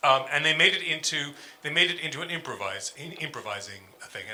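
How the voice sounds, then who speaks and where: Over noticeable background noise, a man with a New York accent speaks at a very fast pace. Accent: New York American. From US, New York. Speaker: music professor. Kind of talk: panel talk with slides.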